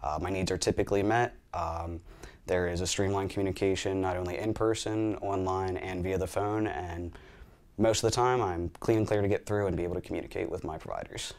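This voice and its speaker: A man with a central Pennsylvania accent speaks fairly quickly in a very deep, low pitch. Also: fairly even intonation. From Hanover, Pennsylvania. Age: 20s. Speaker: patient testimonial speaker. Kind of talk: testimony.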